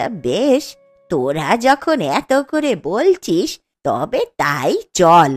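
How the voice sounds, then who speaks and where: A woman performs a cartoonish character voice at medium pitch, swinging very widely up and down at a fairly slow pace. The sound is dry and close with no echo, and faint music sits in the background. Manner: complaining, reproachful.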